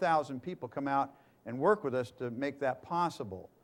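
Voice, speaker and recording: Ordinary pitch variation and a moderate pace in an unremarkable speaking voice. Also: man. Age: 60s. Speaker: urban ministry founder, preacher. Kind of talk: sermon.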